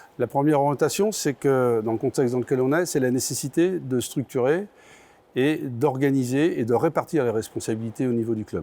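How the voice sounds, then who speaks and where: A man with a dark, mellow tone speaks at a moderate pace, his intonation lively. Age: 60s. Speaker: basketball club president. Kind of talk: interview statement. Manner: halting, many hesitations.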